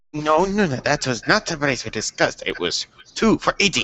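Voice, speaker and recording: A man puts on a character voice. It sits high in pitch and moves at a fairly quick pace. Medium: actual play. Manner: pompous, haggling.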